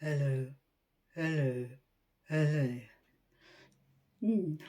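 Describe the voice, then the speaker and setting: The put-on character voice sits at a low-to-middle pitch. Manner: repetitive.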